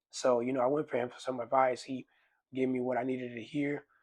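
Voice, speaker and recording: A man's monotone, flat delivery comes at a fairly quick pace. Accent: strong Dominican. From Dominican Republic, raised partly in Maryland. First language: Spanish. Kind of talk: casual chat. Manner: halting, many fillers.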